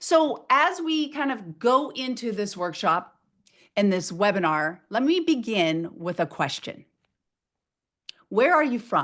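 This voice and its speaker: Loud and energetic in tone, a woman speaks at a fairly slow pace with a fairly high pitch, very wide pitch swings and long, frequent pauses. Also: quiet background. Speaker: motivational speaker. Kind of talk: webinar presentation. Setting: video webinar.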